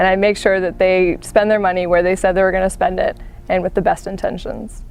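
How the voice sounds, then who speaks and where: Music plays in the background as a woman talks at a fairly quick pace. Her pitch is medium and her intonation monotone and flat. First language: Gujarati. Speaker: financial analyst. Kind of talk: interview.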